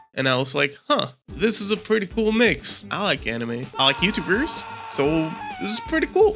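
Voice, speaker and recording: At a moderate pace, someone talks while music plays behind them. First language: Spanish. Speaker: YouTuber. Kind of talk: scripted narration.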